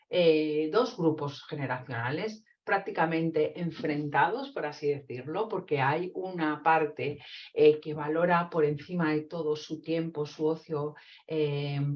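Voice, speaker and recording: A woman speaks at a very deep, low pitch with ordinary pitch variation. Her pace is very slow. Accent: Castilian. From Spain, Castile (Zamora). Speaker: psychologist and trainer. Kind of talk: webinar lecture. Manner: hesitant, many fillers.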